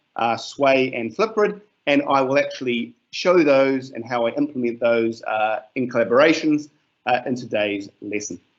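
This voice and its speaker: A man with a New Zealand accent talks at medium pitch with lively intonation. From New Zealand, Gisborne area. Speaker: teacher. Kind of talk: webinar presentation. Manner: hesitant, many fillers.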